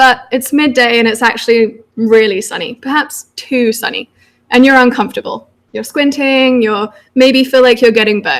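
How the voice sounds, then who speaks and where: A woman with a British accent talks at a moderate pace with a high pitch. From United Kingdom. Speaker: PhD researcher. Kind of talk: public science talk.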